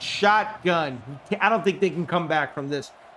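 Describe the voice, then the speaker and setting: Noticeable background noise runs under this man's speech. He has an American accent and lively intonation. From New York City (Queens). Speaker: gaming streamer. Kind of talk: live commentary. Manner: animated.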